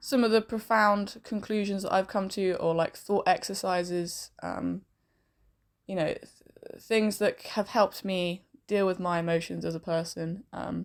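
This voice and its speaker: Recorded very cleanly against a silent background, a woman with a London accent speaks at a moderate pace and medium pitch, her intonation fairly even. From London and southern England, partly raised in Spain. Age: 20s. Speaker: podcaster and pub manager. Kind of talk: casual vlog monologue. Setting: bedroom.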